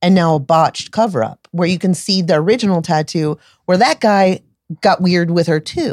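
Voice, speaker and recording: A woman's ordinary speaking voice at a moderate pace, dry and close with no echo. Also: fairly low pitch for a woman, ordinary pitch variation. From US Florida. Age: 40s. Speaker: tattoo artist and shop owner. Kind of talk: casual interview chat.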